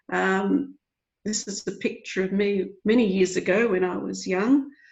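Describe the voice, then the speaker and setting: Somewhat breathy woman with an Australian accent, medium pitch, fairly slow pace. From Australia, rural Victoria. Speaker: library association president. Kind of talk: webinar presentation. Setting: video call.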